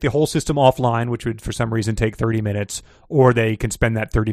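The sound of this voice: An unforced reading voice carries the clip.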